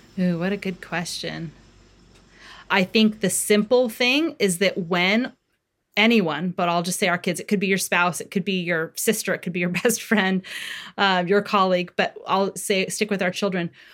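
This woman has a normal speaking voice and a medium pitch. She keeps a moderate pace, her intonation fairly even. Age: 40s. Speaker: parenting author. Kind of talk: interview.

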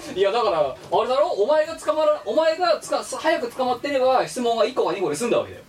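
A man's extremely high voice at a very fast pace, lively in intonation, with hardly any pauses, over noticeable background noise. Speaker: podcast co-host. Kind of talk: casual chat. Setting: remote recording over voice chat. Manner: animated. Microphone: poor audio, parts hard to hear.

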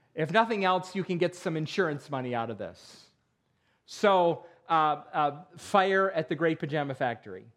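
Lively intonation and a moderate pace carry this voice with an American accent over a quiet background. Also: man, fairly high pitch for a man. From western New York (Perry). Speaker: pastor. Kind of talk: sermon. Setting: church. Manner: halting, many fillers.

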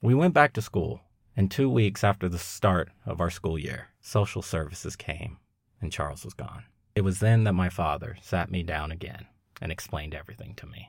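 A man with an American accent and a very deep, low pitch speaks at a moderate pace, somewhat breathy, with lively intonation and big swings in loudness. The recording is very clean, with a silent background. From Long Beach, California. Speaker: podcast host. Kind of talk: scripted narration.

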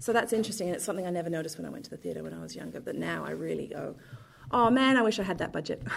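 A woman with a southern English accent talks at a very fast pace. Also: big swings in loudness. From London, England. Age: 30s. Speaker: theatre director. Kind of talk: interview.

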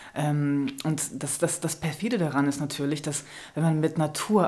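A woman talks with a very deep, low pitch. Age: 30s. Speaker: author and filmmaker. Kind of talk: interview. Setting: studio.

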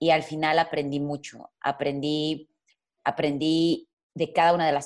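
At a fairly slow pace, a woman speaks in a very deep, low pitch with monotone, flat intonation. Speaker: content creator and musician. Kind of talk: interview conversation.

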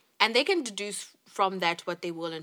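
A woman's bright, sharp tone at a fairly quick pace, lively intonation throughout, on a very clean recording with a silent background. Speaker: podcast co-host. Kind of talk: casual chat.

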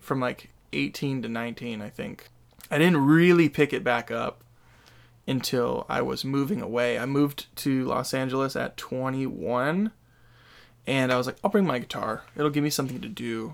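With an American accent, a man talks at a moderate pace and with ordinary pitch variation. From Sacramento area, California. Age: 20s. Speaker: guitarist and vocalist in a metal band. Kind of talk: casual interview chat. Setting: in-person studio conversation. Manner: casual, filler-heavy, self-deprecating.

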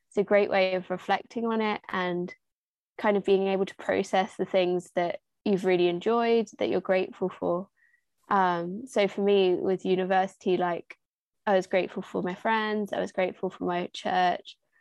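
With a southern English accent, a woman speaks at a moderate pace and medium pitch, her intonation monotone and flat, over a quiet background. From southern England, Hertfordshire. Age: 20s. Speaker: youth charity volunteer. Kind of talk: casual interview.

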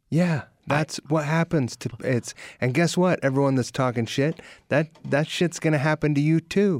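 In an American accent, a man speaks with an unremarkable speaking voice at a fairly high pitch. His pace is moderate and his loudness very even. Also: ordinary pitch variation, dry, close sound with no echo. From California. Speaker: musician. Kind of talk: casual chat. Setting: studio.

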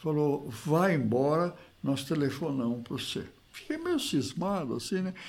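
The man speaks at a fairly slow pace with very wide pitch swings. The room echo is audible. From Brazil, Piracicaba (São Paulo interior). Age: 80s+. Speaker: retired agronomist, former basketball player. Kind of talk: interview, reminiscing.

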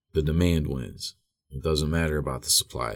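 A man with a Midwestern American accent speaks at a moderate pace, his pitch very deep and low. His intonation stays fairly even. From Northeast Ohio (Wadsworth, near Akron). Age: 30s. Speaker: recovering addict, recovery helpline organizer. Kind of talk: interview.

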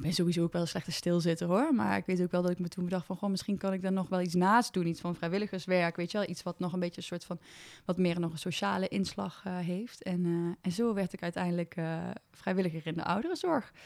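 Her pitch is fairly low, and the woman talks very fast. The recording is very clean, with a silent background. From Brabant, Netherlands (small village). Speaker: communications adviser, founder of elderly social initiative. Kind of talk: casual interview. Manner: hesitant, many fillers; enthusiastic.

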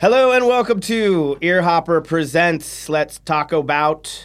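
A man's fairly high voice with an American accent, lively intonation and a fairly slow pace. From US, Pittsburgh. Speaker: podcast host and musician. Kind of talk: casual chat. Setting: rehearsal space.

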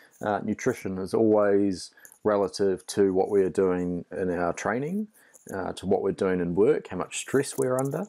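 A man's fairly low, dark and mellow voice at a moderate pace, with ordinary pitch variation, on a very clean recording with a silent background. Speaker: nutrition coach. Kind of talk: educational talk on nutrition. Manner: hesitant, filler-heavy.

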